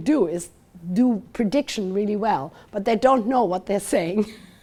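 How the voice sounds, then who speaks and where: Speaking at a moderate pace with a German accent, a woman uses lively intonation and a fairly high pitch, her tone dark and mellow. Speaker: university lecturer. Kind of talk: lecture. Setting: talk with live and online audience. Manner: halting.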